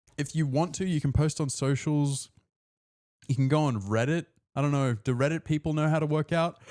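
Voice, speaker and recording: Recorded very cleanly against a silent background, a man speaks at a moderate pace with long, frequent pauses. His loudness stays very even throughout. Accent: Australian. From Australia. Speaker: personal trainer and streamer. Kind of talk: live stream sign-off. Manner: animated.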